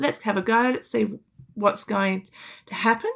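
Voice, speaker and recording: A woman with an Australian accent speaks at a fairly high pitch, her tone bright and sharp and her intonation lively, on a very clean recording with a silent background. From Canberra, Australia. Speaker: music teacher. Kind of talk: interview. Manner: animated.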